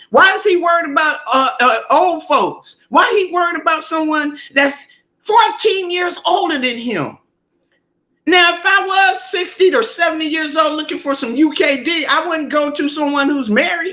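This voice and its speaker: A woman speaks at an extremely high pitch in a raised, projected voice with a bright, sharp tone. Her pace is moderate and her pitch variation ordinary. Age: 50s. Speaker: online content creator. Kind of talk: heated discussion on a live stream.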